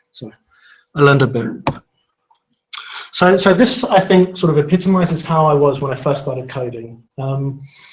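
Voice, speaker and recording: A man with a London accent speaks in a somewhat breathy, fairly high voice with lively intonation, big swings in loudness and long, frequent pauses. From London, England. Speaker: software consultant and conference speaker. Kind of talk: technical talk. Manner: fast when excited.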